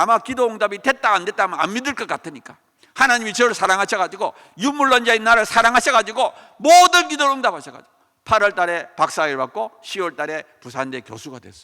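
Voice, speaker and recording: Very fast and animated, a man projects a raised, high-pitched voice with a bright, sharp tone, very wide pitch swings and big swings in loudness. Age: 60s. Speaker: professor. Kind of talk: testimony.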